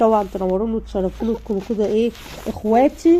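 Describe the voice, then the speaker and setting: A woman with a dark, mellow tone speaks at a fairly quick pace, fairly high in pitch, with ordinary pitch variation. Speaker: home lifestyle vlogger. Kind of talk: vlog to viewers. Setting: at home. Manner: animated.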